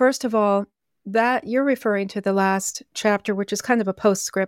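A woman at medium pitch with fairly even intonation and an ordinary speaking voice, on a very clean recording with a silent background and a dry, close sound with no echo. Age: 60s. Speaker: author. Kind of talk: interview.

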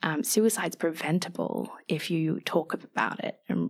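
On a very clean recording over a silent background, a woman talks with an Australian accent. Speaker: mental health advocate. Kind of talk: podcast interview.

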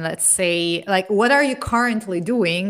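A woman's medium-pitched voice in an Italian accent, fairly slow and with lively intonation. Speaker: podcast host, product manager. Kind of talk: interview. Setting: video call.

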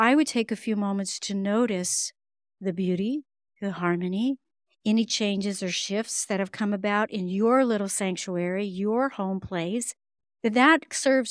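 An ordinary speaking voice from a woman, medium in pitch with ordinary pitch variation, at a fairly slow pace, dry and close with no echo, on a very clean recording with a silent background. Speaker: breath work and meditation teacher. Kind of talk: guided meditation, calm instructional breathing cues.

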